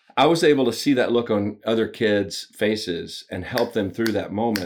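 Fairly low-pitched male voice with a Southern US accent, moderate pace and ordinary pitch variation, in a very clean recording with a silent background. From US South (Alabama). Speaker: business coach and author. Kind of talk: interview.

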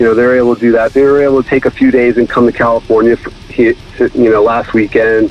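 A man with an American accent, very fast pace and monotone, flat intonation, over noticeable background noise. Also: medium pitch for a man. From Connecticut. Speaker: record label owner. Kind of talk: interview. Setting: phone call.

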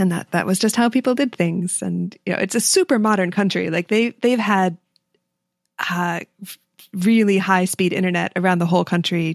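A woman with a normal speaking voice at medium pitch and ordinary pitch variation, at a moderate pace, in a dry, close sound with no echo on a very clean recording with a silent background. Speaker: iOS developer and conference speaker. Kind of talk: casual chat.

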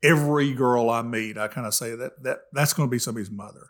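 A man with an East Tennessee accent at a medium pitch and a fairly quick pace, with ordinary pitch variation, on a very clean recording with a silent background. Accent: East Tennessee Southern. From East Tennessee, Jefferson County. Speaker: middle school principal and volunteer mentor. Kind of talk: casual chat.

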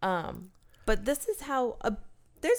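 A woman with a high voice, very wide pitch swings and a moderate pace. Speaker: podcast co-host. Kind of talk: casual banter, comedic chat. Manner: soft-spoken, joking.

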